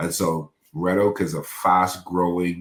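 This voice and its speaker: This man's voice sits very deep and low. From Bahamas. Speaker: pastor, life coach and city councilman. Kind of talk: podcast interview.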